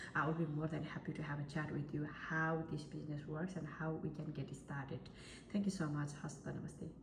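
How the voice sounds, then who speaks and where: A woman's very deep, low pitch with monotone, flat intonation, audible room echo and noticeable background noise. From Nepal. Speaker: online marketer. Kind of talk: sales pitch. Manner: hesitant fillers.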